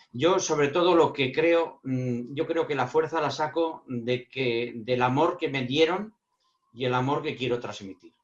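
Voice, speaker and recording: A fairly high-pitched man at a fairly slow pace, with ordinary pitch variation. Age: 60s. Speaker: speaker on emotional intelligence. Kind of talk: panel Q&A answer. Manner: halting, repeats words.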